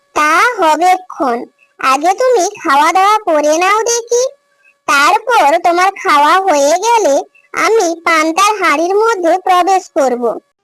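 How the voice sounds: In a cartoonish character voice, a female-sounding speaker talks at an extremely high pitch and a fairly slow pace.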